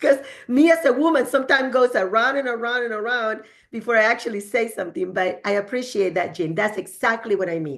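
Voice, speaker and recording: In a strong Spanish accent, a woman talks at a very fast pace with lively intonation and a fairly high pitch. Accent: heavy Spanish. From El Salvador. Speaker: real estate agent. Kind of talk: podcast interview. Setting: studio.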